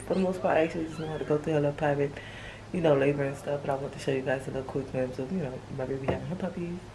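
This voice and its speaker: A woman whispering at a very fast pace, with audible room echo and noticeable background noise. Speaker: lifestyle vlogger. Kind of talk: casual vlog.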